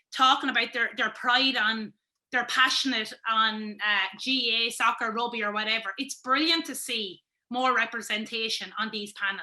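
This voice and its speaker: A woman with a Wexford Irish accent, bright and sharp in tone, at a moderate pace with ordinary pitch variation. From Wexford, Ireland. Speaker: sports pundit, former camogie player. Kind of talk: interview answer.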